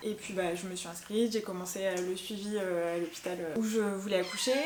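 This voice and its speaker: A woman speaks at a fairly quick pace with ordinary pitch variation. There is audible room echo along with noticeable background noise. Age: 30s. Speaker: mother sharing postpartum experience. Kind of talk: personal testimony. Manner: hesitant, many fillers.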